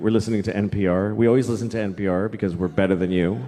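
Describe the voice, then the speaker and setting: A plain, everyday voice: a man with an American accent, fairly low in pitch with ordinary pitch variation, at a fairly quick pace. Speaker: stand-up comedian. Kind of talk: stand-up comedy routine to a live audience. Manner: casual, conversational, self-deprecating.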